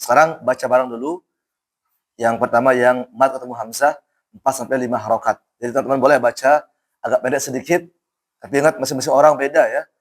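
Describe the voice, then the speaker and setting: A man does a put-on character voice, hoarse and raspy, at medium pitch. He talks at a fairly quick pace with fairly even intonation. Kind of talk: teaching, conversational.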